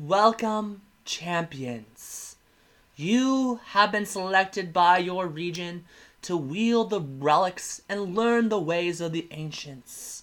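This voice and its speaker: A man puts on a high-pitched character voice and speaks at a very slow pace. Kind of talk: solemn fantasy proclamation. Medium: actual play. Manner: formal, ceremonial.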